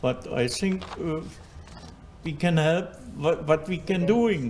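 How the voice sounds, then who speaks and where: A man with a German accent, fairly high in pitch, at a very slow pace with ordinary pitch variation. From Germany, Berlin. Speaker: community volunteer. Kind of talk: interview. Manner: halting, mixing in German words.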